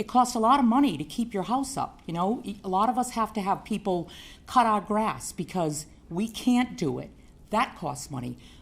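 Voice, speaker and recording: Somewhat breathy and fairly high in pitch, a woman speaks at a moderate pace with lively intonation. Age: 60s. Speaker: resident speaking at public hearing. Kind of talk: public comment at city council meeting.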